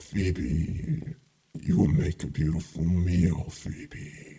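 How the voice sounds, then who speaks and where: Growling and hissing, a man in a put-on character voice speaks very slowly at a very deep, low pitch. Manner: hissing, threatening.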